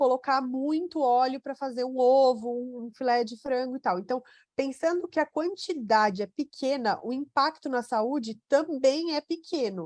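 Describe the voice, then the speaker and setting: A woman's high voice at a fairly slow pace, dry and close, with no echo. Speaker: nutrition doctor. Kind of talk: webinar Q&A. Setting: online webinar.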